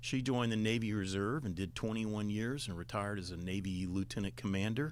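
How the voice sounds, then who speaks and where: With a Southern US accent, a man talks at a very fast pace in a fairly low pitch, with ordinary pitch variation. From Alabama. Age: 60s. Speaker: retired admiral and former state official. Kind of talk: interview.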